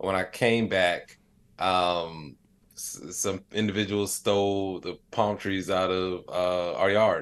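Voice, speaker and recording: A man with a very deep, low voice speaks very slowly in a flat monotone against a quiet background. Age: 30s. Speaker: AI expert and comedian. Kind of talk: interview. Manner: casual, many filler words.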